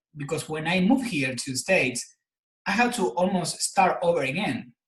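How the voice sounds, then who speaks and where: At a fairly quick pace, a man with an Argentine accent speaks with lively intonation. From Argentina. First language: Spanish. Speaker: personal trainer and health coach. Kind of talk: interview. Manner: halting, repeats words.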